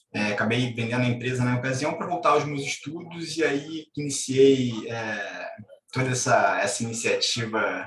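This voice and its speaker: Using fairly even intonation, a man with a Rio de Janeiro accent speaks at medium pitch. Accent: Carioca (Rio de Janeiro) Brazilian Portuguese. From Brazil, Rio de Janeiro. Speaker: doctor and entrepreneur. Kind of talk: interview. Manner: casual.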